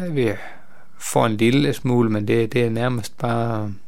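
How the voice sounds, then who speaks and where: This is a man with a medium-pitched voice. He talks at a fairly slow pace. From northern Jutland, Denmark (near Skagen). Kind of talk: radio interview. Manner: halting, many hesitations.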